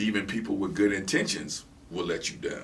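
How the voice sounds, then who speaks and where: With audible room echo, a man talks at a moderate pace and fairly low pitch, using ordinary pitch variation. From Michigan, Ann Arbor. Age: 50s. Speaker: guest on faith talk show. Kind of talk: casual interview. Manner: repetitive stammering.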